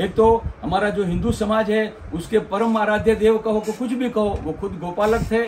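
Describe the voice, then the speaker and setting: Noticeable background noise sits behind a man whose voice is high in pitch. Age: 60s. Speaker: lawyer and cow keeper. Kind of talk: interview testimony. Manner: halting.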